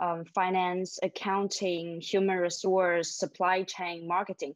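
A woman with a Chinese accent speaks at a fairly slow pace, the sound dry with no echo and the background quiet. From Shanghai, China. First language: Mandarin Chinese. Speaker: MBA student. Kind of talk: webinar panel discussion. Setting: video call. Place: home room. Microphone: video call.

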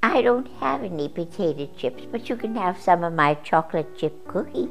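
A cartoonish character voice that sounds female, pitched fairly low, moves at a moderate pace. Clear music plays in the background. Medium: puppet. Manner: hesitant, grumpy.

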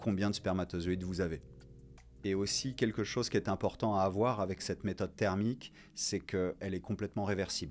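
A man speaks at a fairly quick pace in a fairly low pitch with fairly even intonation. Faint music sits in the background. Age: 40s. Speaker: co-founder of a contraception cooperative. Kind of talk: interview testimony. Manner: hesitant, many fillers. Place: studio. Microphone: studio mic.

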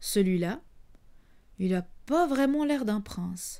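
A woman with a fairly high pitch and a dark, mellow tone talks at a fairly slow pace with ordinary pitch variation. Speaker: storyteller. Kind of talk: bedtime story telling, intimate and warm, as if speaking to children. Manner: animated, conversational; playful, teasing, with asides to the audience.

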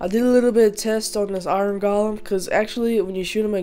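Against noticeable background noise and audible room echo, a woman of medium pitch talks at a fairly quick pace with fairly even intonation. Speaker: gaming YouTuber. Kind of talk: gameplay commentary. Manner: casual, hesitant with fillers.

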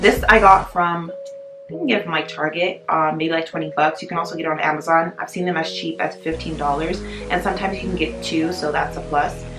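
A woman talks fairly quickly at a fairly low pitch while clear music plays in the background. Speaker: lifestyle vlogger. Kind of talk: casual vlog chat.

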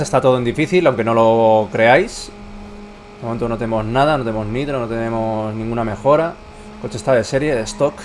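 A man speaks at a medium pitch with ordinary pitch variation. Noticeable background noise runs behind him. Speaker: gaming YouTuber. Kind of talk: gameplay commentary.

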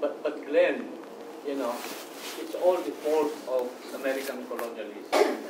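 A man's voice with long, frequent pauses over noticeable background noise. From Philippines. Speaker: audience member, writer. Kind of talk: Q&A discussion. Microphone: camera far.

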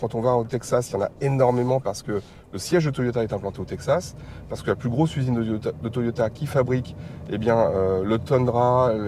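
Over light background noise, a man with a dark, mellow tone talks at a moderate pace with ordinary pitch variation, and the sound is dry with no echo. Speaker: guest. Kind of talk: interview answer. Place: car. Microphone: lapel.

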